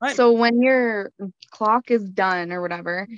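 A woman with a Canadian accent speaks at a very slow pace, with ordinary pitch variation. The sound is dry and close, with no echo. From Canada. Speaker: anonymous guest, parent with BPD. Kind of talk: casual chat.

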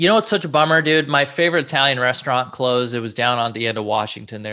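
A bright, sharp tone in an American accent. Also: man, hardly any pauses. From Southern California. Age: 30s. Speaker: comedian and YouTuber. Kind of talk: casual chat.

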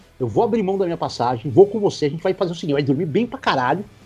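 A man talks, his pitch swinging very widely. Music can be heard behind him. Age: 50s. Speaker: sports reporter. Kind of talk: casual interview.

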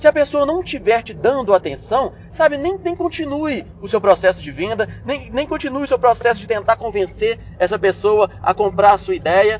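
Noticeable background noise surrounds a man talking at a moderate pace with hardly any pauses. His high pitch makes very wide swings, and his loudness shifts a lot. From Brazil, Belo Horizonte. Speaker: business management podcaster. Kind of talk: solo instructional podcast. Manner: casual, conversational with frequent fillers and repetitions.

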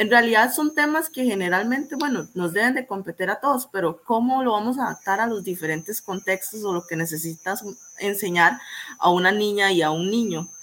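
Talking at a fairly quick pace, a woman with an ordinary speaking voice has a medium pitch and lively intonation. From Costa Rica, Limón province. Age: 20s. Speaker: student. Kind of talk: panel discussion.

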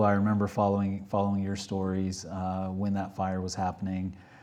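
A dark, mellow tone with an American accent and audible room echo. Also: man. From Texas, small town. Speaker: real estate podcast host. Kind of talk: casual interview. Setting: studio with camera.

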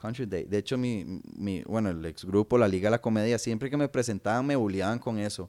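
In a Costa Rican accent, a man talks at a fairly quick pace with hardly any pauses, his pitch fairly low with ordinary variation and his tone dark and mellow. The recording is very clean, with a silent background. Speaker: comedian. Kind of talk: casual chat.

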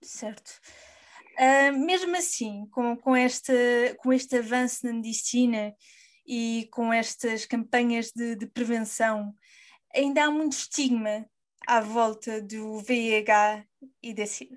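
Against a quiet background, a woman with a fairly high pitch speaks at a very slow pace with fairly even intonation and big swings in loudness. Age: 20s. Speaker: podcast host. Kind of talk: interview.

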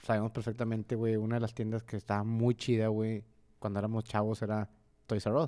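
A man's voice of medium pitch, dark and mellow in tone, at a fairly quick pace. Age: 30s. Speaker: podcast co-host. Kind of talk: casual chat. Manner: animated.

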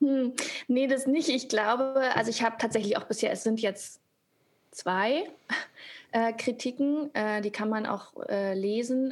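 At a fairly slow pace, a woman with a normal speaking voice speaks at a fairly high pitch with fairly even intonation. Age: 30s. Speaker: actress and author. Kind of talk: casual chat.

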